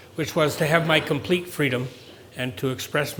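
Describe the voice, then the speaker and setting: A man speaks with a Canadian accent at a moderate pace. There is noticeable background noise. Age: 60s. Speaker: farm business owner. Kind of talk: speech to an audience. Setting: event with live audience. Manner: conversational, with fillers.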